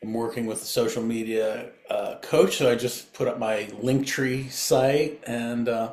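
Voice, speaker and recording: Noticeable background noise and audible room echo surround a man who talks with hardly any pauses and fairly even intonation. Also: medium pitch for a man, fairly slow pace. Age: 60s. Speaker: jazz guitarist and music educator. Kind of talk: casual interview chat. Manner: halting, many fillers and restarts.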